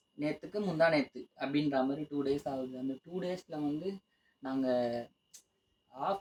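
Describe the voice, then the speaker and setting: A man with a fairly high voice speaks somewhat breathily, his pitch varying in an ordinary way. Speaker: couple vlogger. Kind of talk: casual chat. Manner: talkative.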